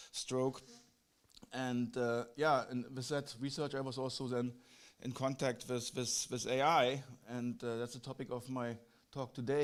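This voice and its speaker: With a German accent, the speaker goes at a fairly slow pace in a monotone, flat intonation. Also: man. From Germany. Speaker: physician researcher. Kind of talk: conference lecture. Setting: conference hall. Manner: halting, with many fillers and repetitions.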